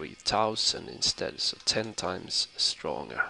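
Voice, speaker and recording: A man's fairly low, bright, sharp voice with vocal fry, at a very slow pace. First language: not English. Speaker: gaming tutorial YouTuber. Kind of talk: tutorial. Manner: halting, many fillers.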